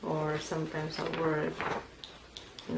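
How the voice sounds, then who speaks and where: A woman with a Filipino accent speaks over noticeable background noise, with audible echo from the room. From Philippines. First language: Filipino language. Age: 50s. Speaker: immigrant interviewee. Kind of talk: oral history interview.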